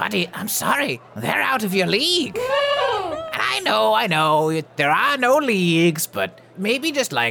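A man puts on a character voice with a high pitch. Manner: exasperated, chatty.

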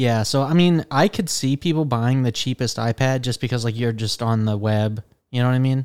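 A man with an unremarkable speaking voice talks fairly quickly in a medium pitch with ordinary pitch variation, in a dry, close sound with no echo. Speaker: podcast host. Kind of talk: casual chat about tech news. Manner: casual, filler-heavy.

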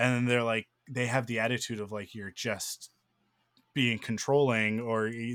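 On a very clean recording with a silent background and a dry, close sound with no echo, a man with a Canadian accent speaks at a medium pitch and moderate pace in a monotone, flat intonation. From Pacific Northwest, Canada (Vancouver area). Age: 30s. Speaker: podcast host. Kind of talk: casual chat; scripted outro.

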